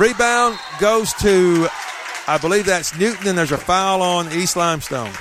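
The speaker's pitch varies in an ordinary way while crowd noise carries in the background. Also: man. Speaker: play-by-play announcer. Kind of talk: live sports commentary, play-by-play. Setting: gym, at high school basketball tournament.

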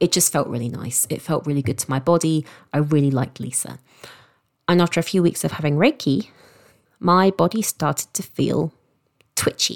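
In a southern English accent, a woman with a very deep, low pitch speaks at a moderate pace, with ordinary pitch variation and long, frequent pauses. The sound is dry and close, with no echo. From London, England. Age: 30s. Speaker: sex coach and podcast host. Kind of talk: personal storytelling monologue.

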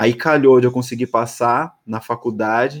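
A man with a plain, everyday voice talks at a medium pitch and moderate pace with fairly even intonation. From Brazil, São Paulo state (São Roque). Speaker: DJ. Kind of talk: casual chat.

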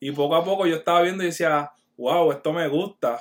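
A man with a high pitch at a fairly quick pace. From Puerto Rico, Barranquitas. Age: 30s. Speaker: graphic artist and clothing brand owner. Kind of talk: casual interview chat. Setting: online video call.

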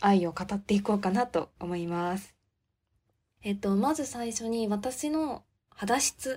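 A woman talks at a fairly slow pace with a medium pitch. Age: 20s. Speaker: podcast host. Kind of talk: casual monologue. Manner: speeds up when excited.

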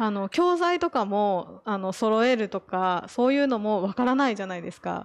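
At a moderate pace with hardly any pauses, the voice shows very wide pitch swings over a quiet background. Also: woman, fairly high pitch for a woman. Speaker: former expat parent. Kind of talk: casual chat.

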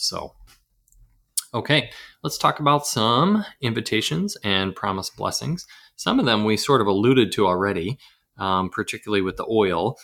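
A man with an American accent speaks at a medium pitch and moderate pace in a bright, sharp tone, his lively intonation broken by long, frequent pauses, on a very clean recording with a silent background. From US South. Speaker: podcast host. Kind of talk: casual discussion.

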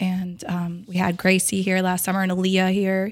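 A woman with an American accent speaks at a moderate pace and medium pitch, in an ordinary speaking voice. The recording is very clean, with a silent background. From Brainerd Lakes area, Minnesota. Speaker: store employee and event organizer. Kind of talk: casual interview. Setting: in the store.

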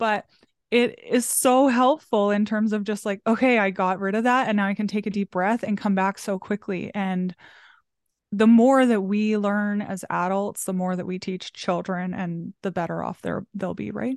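A woman's plain, everyday voice at medium pitch, moderate in pace with fairly even intonation, dry and close with no echo over a quiet background. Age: 30s. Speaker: small business coach. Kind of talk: casual chat.

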